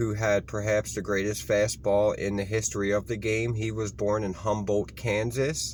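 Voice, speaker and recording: With an American accent, a man speaks at a fairly low pitch with ordinary pitch variation and hardly any pauses. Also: moderate pace. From Baltimore, Maryland. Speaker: history video host. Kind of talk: informal history reading to camera. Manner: halting, with ums and self-corrections.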